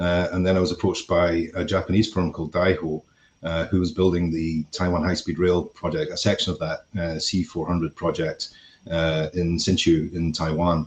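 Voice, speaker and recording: A man with a Scottish accent, very deep and low in pitch, monotone and flat, at a moderate pace. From Scotland. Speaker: construction company executive. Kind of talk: podcast interview. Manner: hesitant, many fillers.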